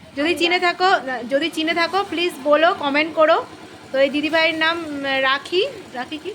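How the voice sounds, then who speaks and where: Noticeable background noise sits behind a woman whose extremely high pitch moves in fairly even intonation. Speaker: vlogger. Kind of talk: casual vlog narration. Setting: outdoors and train travel.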